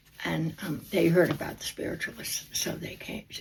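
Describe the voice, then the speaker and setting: A woman whispering with an American accent. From New Jersey. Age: 80s+. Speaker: oral history interviewee. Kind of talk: oral history interview. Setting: library.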